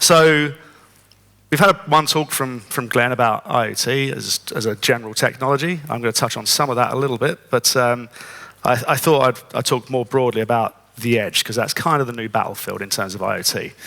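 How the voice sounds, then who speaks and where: This man speaks with a British accent at a medium pitch for a man. His tone is bright and sharp, and his pace is fairly quick. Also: ordinary pitch variation. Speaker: conference speaker. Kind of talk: conference talk.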